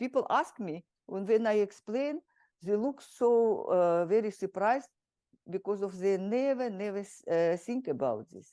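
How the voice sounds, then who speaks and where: In a Russian accent, a woman speaks fairly slowly at a medium pitch, her tone dark and mellow. Her intonation is lively, her loudness swings widely, and the background is quiet. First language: Kalmyk. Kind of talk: interview. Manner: halting.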